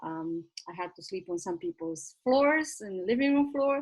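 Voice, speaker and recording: Speaking in a Romanian accent at a fairly quick pace, a woman is heard against a quiet background. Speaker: nonprofit founder. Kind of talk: info session presentation. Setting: virtual session.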